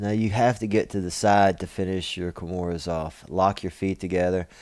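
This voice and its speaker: With a Kentucky accent, a man speaks at a moderate pace in a fairly low pitch with a dark, mellow tone. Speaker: martial arts instructor. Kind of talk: tutorial. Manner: casual, with many fillers.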